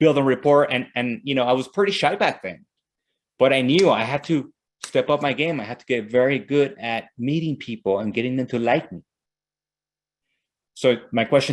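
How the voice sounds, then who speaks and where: A man with a strong Mexican accent, medium pitch, ordinary pitch variation and a moderate pace, on a very clean recording with a silent background. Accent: Mexican Spanish accent, thick. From Mexico. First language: Spanish. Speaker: real estate team leader and sales coach. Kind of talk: motivational training session. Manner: animated.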